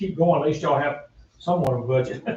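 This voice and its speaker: A man races through his words at a very fast pace amid noticeable background noise. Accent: Southern US. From North Carolina, Iredell County. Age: 70s. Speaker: parade organizer and school board member. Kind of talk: public meeting remarks. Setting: town budget meeting. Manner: halting.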